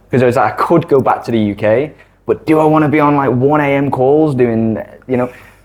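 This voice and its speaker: A man in a Mancunian accent, medium-pitched, fairly quick, with fairly even intonation. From northern England, Manchester. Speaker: digital creator and former accountant. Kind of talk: casual interview chat.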